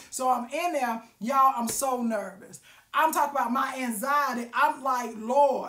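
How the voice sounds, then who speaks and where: Loud and animated, the voice has a bright, sharp tone, ordinary pitch variation and a fairly slow pace. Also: woman, high pitch for a woman. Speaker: live-stream vlogger. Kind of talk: casual storytelling monologue. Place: home room. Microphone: phone near.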